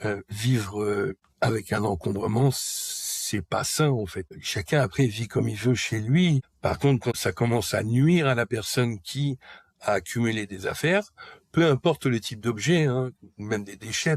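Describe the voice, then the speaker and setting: A man speaks at a moderate pace, medium in pitch with ordinary variation and somewhat breathy. The recording is very clean, dry and close, with a silent background and no echo. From Paris region, France. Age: 40s. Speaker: person recovering from hoarding disorder. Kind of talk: personal testimony interview. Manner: halting, frequent hesitations.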